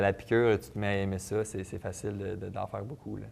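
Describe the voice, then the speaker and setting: Talking at a very fast pace, a man uses fairly even intonation with vocal fry. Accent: Quebec. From Quebec. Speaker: professional football player. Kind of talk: TV sports interview. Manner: hesitant, many fillers and repetitions.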